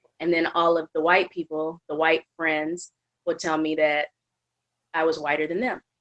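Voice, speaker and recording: Dry and close with no echo, a woman's fairly low voice stays monotone and flat. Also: moderate pace. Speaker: podcast guest. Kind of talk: casual podcast conversation. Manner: clear, concise speech.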